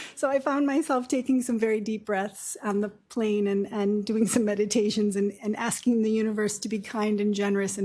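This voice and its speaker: A woman's fairly quick voice at a medium pitch, with fairly even intonation and hardly any pauses. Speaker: nurse practitioner. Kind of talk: lecture. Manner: soft-spoken.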